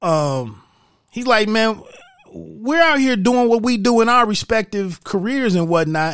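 Lively in intonation, a man speaks at a fairly slow pace with a high pitch. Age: 40s. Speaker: podcast host, movie reviewer. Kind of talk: solo movie review monologue. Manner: casual, halting with frequent fillers.

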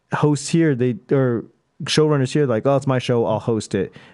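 At a fairly quick pace, a man with an American accent speaks at a medium pitch, with a dark, mellow tone and ordinary pitch variation. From Boston. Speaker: stand-up comedian. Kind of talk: casual chat.

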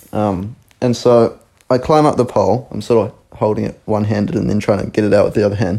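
A man with a New Zealand accent speaks at a fairly quick pace in a fairly low pitch, his dark, mellow tone moving with ordinary pitch variation. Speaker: podcast co-host. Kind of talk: casual chat.

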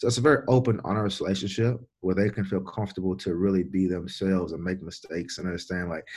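With a Louisiana accent, a man speaks fairly quickly in a very deep, low voice with fairly even intonation, on a very clean recording with a silent background. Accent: Louisiana Southern US. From Louisiana, Baton Rouge. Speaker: strength and conditioning coach. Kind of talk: casual interview. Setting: on the road.

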